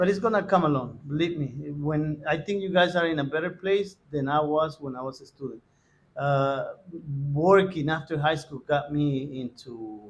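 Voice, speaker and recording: At a moderate pace, a man with a Spanish accent talks in a fairly high pitch with ordinary pitch variation. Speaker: Spanish teacher. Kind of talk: interview. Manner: halting, many fillers.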